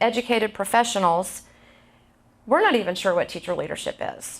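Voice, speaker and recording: In a very clean recording with a silent background, a woman talks at a fairly quick pace with ordinary pitch variation. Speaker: speaker giving talk on teacher leadership, educator. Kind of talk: conversational presentation. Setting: stage, live audience. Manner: projects voice, speaks to audience without needing mic.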